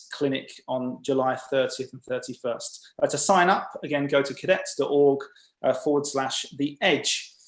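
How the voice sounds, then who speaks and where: A man at a moderate pace, with an English accent. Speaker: webinar host. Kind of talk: webinar introduction and announcements. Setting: video call. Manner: hesitant, many uh fillers.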